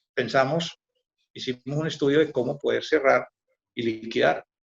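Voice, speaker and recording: This man's voice is somewhat breathy, with ordinary pitch variation and a moderate pace, in a dry, close sound with no echo. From Colombia, Antioquia. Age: 80s+. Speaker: veteran economic journalist. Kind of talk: interview. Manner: halting, with repetitions.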